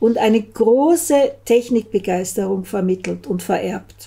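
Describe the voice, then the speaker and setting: A woman speaks at a fairly slow pace in a fairly high, somewhat breathy voice with a dark, mellow tone and ordinary pitch variation against a quiet background. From Austria. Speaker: storyteller. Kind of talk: reading aloud. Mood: calm, even storytelling. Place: home room. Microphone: studio mic.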